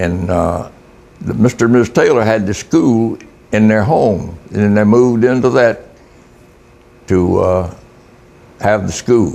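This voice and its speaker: A man with a Florida Panhandle accent speaks at a fairly low pitch with ordinary pitch variation. He leaves long, frequent pauses over noticeable background noise. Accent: Southern US (Florida Panhandle). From US South, Florida Panhandle. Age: 80s+. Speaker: retired fisherman. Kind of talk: interview. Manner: halting.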